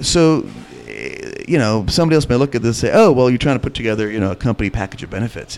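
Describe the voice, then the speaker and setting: A man speaks at a very fast pace with lively intonation and a medium pitch. Noticeable background noise runs underneath. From India. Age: 40s. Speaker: restaurant owner and chef. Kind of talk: interview.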